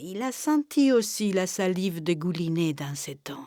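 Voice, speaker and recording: At a very slow pace, a woman speaks with lively intonation and a dark, mellow tone. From Cuba. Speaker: storyteller. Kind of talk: oral folk tale telling.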